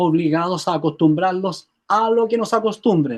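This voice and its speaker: A man with a high-pitched voice talks fairly slowly, his pitch varying in an ordinary way. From Chile. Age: 70s. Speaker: health therapist and author. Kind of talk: interview.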